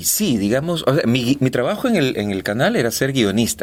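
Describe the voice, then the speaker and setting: Over noticeable background noise, a man talks at a medium pitch with very wide pitch swings. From Ecuador. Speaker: voice actor. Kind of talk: interview answer. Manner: natural, conversational.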